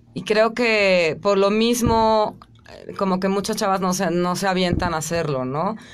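A woman talks at a fairly slow pace with ordinary pitch variation. Noticeable background noise runs behind her. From Mexico, Chiapas. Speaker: rock singer; interviewee. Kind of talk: radio interview. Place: studio. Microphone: studio mic.

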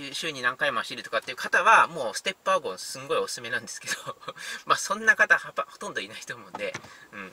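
Very fast speech from a man comes through light background noise, with a dry sound and no echo. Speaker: car reviewer. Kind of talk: casual commentary while driving. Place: car. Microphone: phone near.

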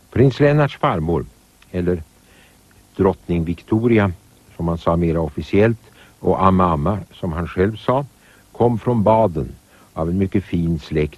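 Lively intonation runs through a man's very deep, low voice. He leaves long, frequent pauses. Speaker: narrator. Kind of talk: scripted narration.

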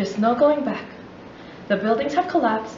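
Audible room echo and light background noise surround a woman speaking at a high pitch. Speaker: spoken word poet. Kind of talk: spoken word poetry performance. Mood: solemn, intense. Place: classroom. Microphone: camera far.

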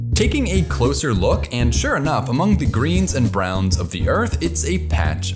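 A man speaks at moderate speed while music plays clearly behind him. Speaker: educational video host. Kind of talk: scripted explainer narration. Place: home room.

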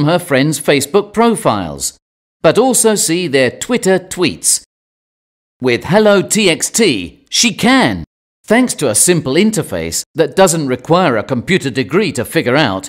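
A man with a British accent speaks at a fairly high pitch with very wide pitch swings and some vocal fry. The recording is very clean, with a silent background. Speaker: narrator. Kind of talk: scripted narration. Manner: calm.

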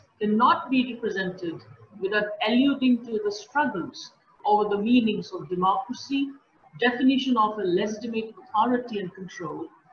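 A woman speaks at a moderate pace with ordinary pitch variation. Light background noise and audible room echo are present. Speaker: host introducing a speaker. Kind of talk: formal introduction. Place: home room. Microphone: earbuds.

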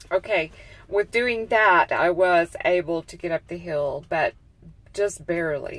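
The delivery is very slow, with ordinary pitch variation. The sound is dry, with no echo. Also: woman. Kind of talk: casual vlog chat. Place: car. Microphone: earbuds.

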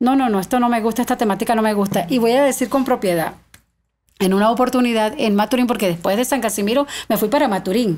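A very fast pace with very even loudness and ordinary pitch variation. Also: woman. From Venezuelan Andes, Mérida state (Tovar); Mérida state, Venezuela. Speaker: singer of llanera music; podcast guest. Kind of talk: casual interview. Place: studio. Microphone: studio mic.

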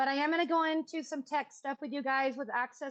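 A woman speaks loudly. Her pace is moderate. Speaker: public commenter at city council meeting. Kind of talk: public comment. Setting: video call.

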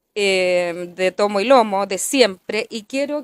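A woman in a Chilean accent, medium pitch, dry sound with no echo. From Chile, Melipilla. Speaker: local council candidate; election candidate. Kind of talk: public debate. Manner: halting, self-correcting. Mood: earnest, persuasive. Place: cafe. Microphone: handheld.

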